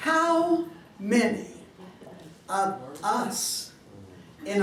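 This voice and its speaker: Very wide pitch swings from a female speaker, with noticeable background noise and audible room echo around her. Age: 80s+. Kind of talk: panel talk to an audience.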